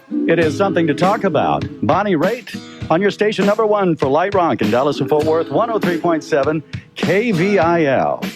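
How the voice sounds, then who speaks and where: A man's high-pitched voice with lively intonation, very even loudness and hardly any pauses, over music in the background. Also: moderate pace. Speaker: radio broadcaster. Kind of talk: music radio DJ. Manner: upbeat.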